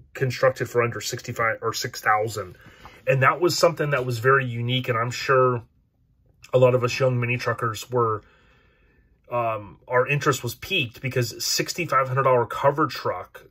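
Over a quiet background, a man with a bright, sharp tone speaks at a moderate pace with fairly even intonation. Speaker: podcast host. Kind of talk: casual commentary. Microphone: phone near.

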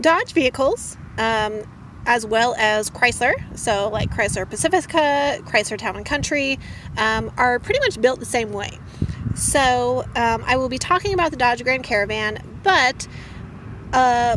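A woman's high voice at a fairly slow pace, dry with no echo, over noticeable background noise. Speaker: van life vlogger. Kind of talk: tutorial. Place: car. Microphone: phone near.

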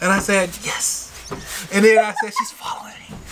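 A man's high-pitched, raised, projected voice at a moderate pace, with light background noise. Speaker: farmer and vlogger; farm vlogger. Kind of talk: casual chat. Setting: outdoors on a balcony. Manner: hesitant, many fillers. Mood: amused, playful. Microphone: camera far.

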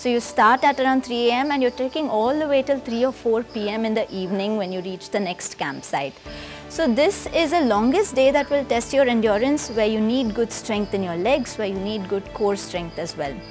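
Over clear background music, a woman talks with hardly any pauses. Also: moderate pace. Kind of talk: informational explainer. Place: home room. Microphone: lapel.

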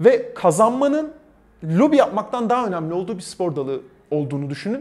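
Very wide pitch swings at a fairly quick pace. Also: man. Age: 30s. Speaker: esports commentator; esports host, interview guest. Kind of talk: interview. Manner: halting. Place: hall. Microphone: lapel.

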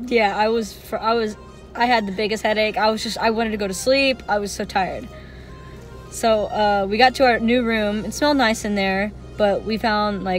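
Over faint background music, a woman speaks at a moderate pace with fairly even intonation, the sound dry with no echo. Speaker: vlogger. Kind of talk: casual vlog chat. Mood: relaxed, amused storytelling. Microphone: phone near.

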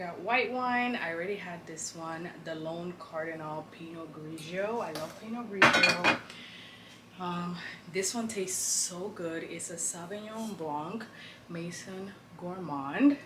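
Big swings in loudness at a fairly slow pace, over noticeable background noise. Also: woman, ordinary pitch variation. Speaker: lifestyle vlogger. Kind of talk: casual vlog chat. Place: home room. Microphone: camera far.

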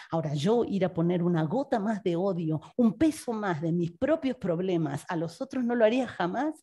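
In an Argentine accent, the speaker keeps a moderate pace with hardly any pauses and very wide pitch swings against a quiet background. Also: woman, medium pitch for a woman. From Argentina. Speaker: philosophy researcher and professor; professor. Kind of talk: reading a prepared text; panel presentation. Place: hall. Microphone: podium.

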